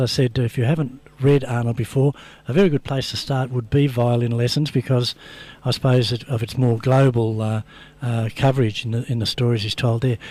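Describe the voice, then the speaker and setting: Dark and mellow in tone, a man's voice carries an Australian accent and fairly even intonation. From Geelong, Australia. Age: 60s. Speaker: radio host. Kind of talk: radio interview.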